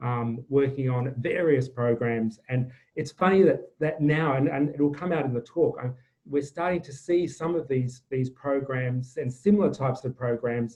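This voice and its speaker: A man speaks at a moderate pace. His pitch sits fairly high, and his intonation stays fairly even. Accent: Australian. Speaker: climate change advisor. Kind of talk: webinar presentation. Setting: video call. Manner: halting, many fillers.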